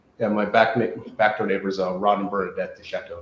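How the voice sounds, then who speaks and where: A somewhat breathy man at a fairly quick pace. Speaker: award nominee or applicant speaking to council. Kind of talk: interview. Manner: halting; many fillers and restarts.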